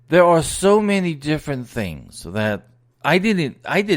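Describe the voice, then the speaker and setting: His pitch swings very widely from moment to moment. This man keeps his delivery fairly slow. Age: 60s. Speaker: business advisor and podcast host. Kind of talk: podcast monologue. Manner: casual, hesitant with repetitions.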